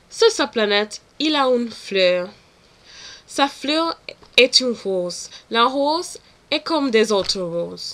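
At a very slow pace with long, frequent pauses, a woman with a high pitch speaks with lively intonation and a non-native accent. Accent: non-native French learner. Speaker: French language student. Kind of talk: read oral exam answer.

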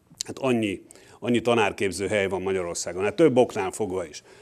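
A man rattles along at a very fast pace, his voice fairly low in pitch. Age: 50s. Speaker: university professor; university lecturer. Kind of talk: lecture. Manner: halting. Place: hall. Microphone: podium.

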